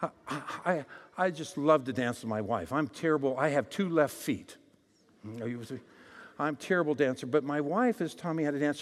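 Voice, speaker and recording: A man with an American accent speaks at a moderate pace, his fairly high voice full of lively intonation. The recording is very clean, with a silent background. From Arizona. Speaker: guest preacher. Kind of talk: sermon. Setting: church. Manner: animated.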